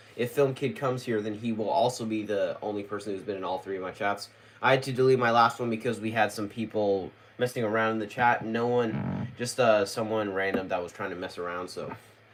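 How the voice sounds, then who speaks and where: A man's medium-pitched voice at a fairly quick pace, with fairly even intonation and music in the background. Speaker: YouTuber doing live Q&A. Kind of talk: casual livestream chat. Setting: livestream. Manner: stutter.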